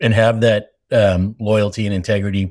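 A man with an American accent, an ordinary speaking voice, fairly low pitch and a moderate pace, on a very clean recording with a silent background. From Massachusetts, US. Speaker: company CEO. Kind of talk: interview podcast.

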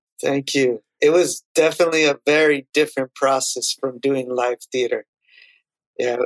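An ordinary speaking voice from a man, fairly high in pitch, with fairly even intonation, a moderate pace and a dry, close sound with no echo. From US, child of Salvadoran immigrants. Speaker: composer and sound designer. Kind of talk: interview.

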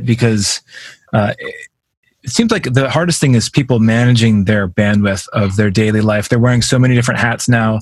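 A man speaks with an American accent at a fairly quick pace. His voice is somewhat breathy. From US, Vermont. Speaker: podcast host. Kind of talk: casual interview.

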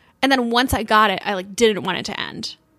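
Fairly quick speech from a woman, a plain, everyday voice with fairly high pitch and fairly even intonation. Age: 30s. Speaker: podcast co-host. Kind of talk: casual chat.

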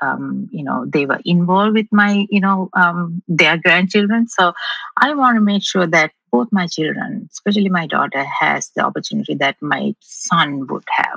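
Medium-pitched female voice with a bright, sharp tone and lively intonation, moderate pace, dry and close with no echo. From Sri Lanka. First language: not English. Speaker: rocket scientist and investor. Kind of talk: interview. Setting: remote call.

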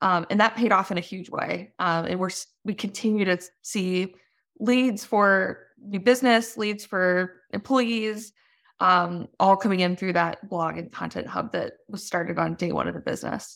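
A woman with a medium-pitched voice speaks at a moderate pace, her intonation fairly even but her loudness swinging widely; an ordinary speaking voice. The recording is very clean, with a silent background. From US, moved around as Navy child. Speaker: business founder and CEO. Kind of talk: interview. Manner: frequent fillers, conversational.

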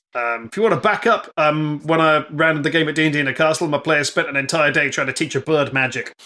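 Bright and sharp in tone, a man with an English accent talks at a fairly quick pace in a fairly high pitch, with ordinary pitch variation. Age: 40s. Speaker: comedian and game master. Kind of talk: casual chat.

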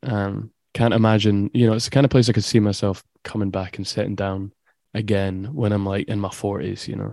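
With an Edinburgh accent, a man speaks at a fairly quick pace in a fairly low pitch, his tone dark and mellow. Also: fairly even intonation, dry, close sound with no echo. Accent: Scottish (Edinburgh). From Scotland, Edinburgh. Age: 20s. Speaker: electronic music producer. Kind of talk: casual interview. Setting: video call.

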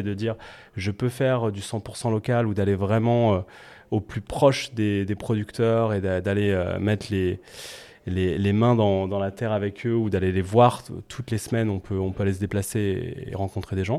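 This man has a dark, mellow tone and a fairly low pitch. He keeps a moderate pace with fairly even intonation. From France, Nantes. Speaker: restaurant entrepreneur and mentor. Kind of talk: panel discussion. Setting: recorded in a café.

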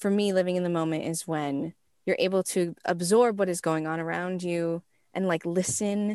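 A woman of medium pitch with an unremarkable speaking voice, ordinary pitch variation and a moderate pace, recorded dry and close with no echo against a quiet background. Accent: American. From US West Coast. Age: 20s. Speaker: musical theater performer and composer. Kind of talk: casual interview. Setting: remote call from her closet.

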